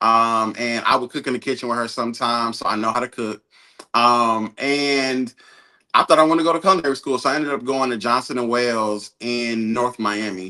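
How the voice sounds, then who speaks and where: A man with an American accent talks at a fairly quick pace and a medium pitch. His tone is bright and sharp, his intonation fairly even. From New York, Brooklyn, then Atlanta. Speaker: content creator and media entrepreneur. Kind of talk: podcast interview. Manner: casual, many filler words.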